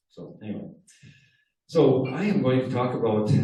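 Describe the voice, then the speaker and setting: A man with a Wisconsin accent talks at a moderate pace, and audible room echo can be heard. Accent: Upper Midwest (Wisconsin). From Wisconsin, Door County. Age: 70s. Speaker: car club presenter. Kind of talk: presentation to a club audience. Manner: hesitant, many fillers.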